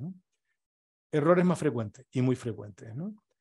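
The man's voice has a dark, mellow tone. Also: quiet background. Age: 60s. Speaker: retired business consultant and workshop speaker; speaker. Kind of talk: workshop talk. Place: home room. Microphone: webcam.

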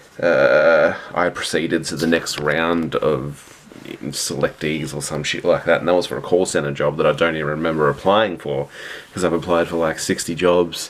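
Intonation stays fairly even as the words come at a moderate rate. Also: man, very deep, low pitch for a man. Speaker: vlogger. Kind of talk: casual vlog chat. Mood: weary, frustrated about job hunt. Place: home room. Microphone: phone near.

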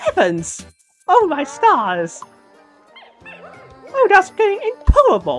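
In a put-on character voice with an extremely high pitch, the speaker goes at a fairly slow pace with long, frequent pauses over faint background music. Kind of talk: theatrical, exclamatory. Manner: hurt, distressed.

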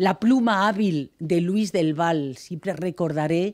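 A woman with a fairly low pitch and ordinary pitch variation, against a quiet background. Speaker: journalist. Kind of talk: acceptance speech. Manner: reading from notes. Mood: warm, grateful. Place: hall. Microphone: podium.

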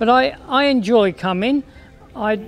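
Speaking at a very slow pace with lively intonation, a man talks over faint background music. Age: 80s+. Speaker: heritage volunteer, statue cleaner. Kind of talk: interview answer. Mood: warm, content, reflective. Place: garden.

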